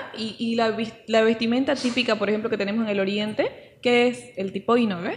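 Against noticeable background noise, a woman talks at a fairly quick pace in a fairly high voice with fairly even intonation. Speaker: podcast co-host. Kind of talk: casual chat. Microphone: saturated, poor audio.

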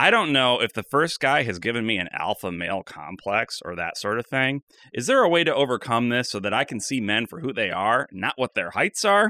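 A man with a bright, sharp tone and medium pitch speaks at a fairly quick pace with very wide pitch swings and hardly any pauses. The recording is very clean, with a silent background and a dry, close sound with no echo. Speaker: podcast host. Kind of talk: casual comedy banter.

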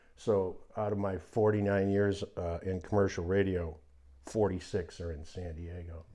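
In a dark, mellow tone, a man speaks at a moderate pace with a very deep, low pitch, monotone, flat intonation, and big swings in loudness. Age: 70s. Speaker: radio DJ. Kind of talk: casual chat.

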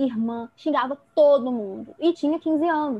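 Ordinary pitch variation from a woman talking at a fairly slow pace. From Rio de Janeiro state interior, Brazil. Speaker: psychology student, feminist activist. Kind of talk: casual chat.

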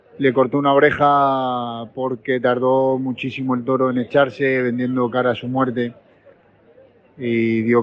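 A man's medium-pitched voice with monotone, flat intonation, over noticeable background noise. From Spain, Murcia. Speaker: matador acting as field reporter. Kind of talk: phone report.

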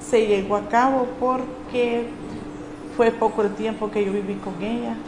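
A woman speaks at a fairly slow pace with fairly even intonation, and both noticeable background noise and audible room echo come through. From Honduras, Lempira. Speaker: churchgoer giving testimony. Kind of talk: testimony.

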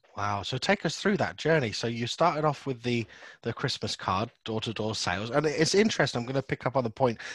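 A man speaks at a fairly quick pace with a British accent. The recording is very clean with a silent background and a dry, close sound with no echo. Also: medium pitch for a man, lively intonation. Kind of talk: casual interview chat.

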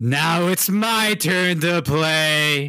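In a very clean recording with a silent background, a man uses a put-on character voice pitched high. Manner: menacing.

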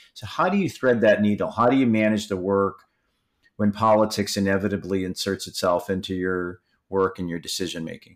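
A man talks in a plain, everyday voice at a fairly low pitch and a fairly quick pace. His intonation is fairly even, on a very clean recording with a silent background. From Michigan, US. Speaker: podcast host, trade association CEO. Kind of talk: interview.

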